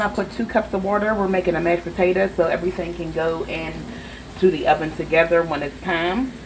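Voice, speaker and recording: Someone talks at a moderate pace over noticeable background noise. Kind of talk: casual cooking tutorial. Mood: relaxed, playful. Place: kitchen. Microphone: phone near.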